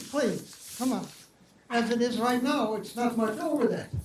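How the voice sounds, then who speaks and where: Amid noticeable background noise and audible room echo, a man speaks at an extremely high pitch. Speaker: Holocaust survivor speaker. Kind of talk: Q&A after a public talk. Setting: library event with audience. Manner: casual, joking.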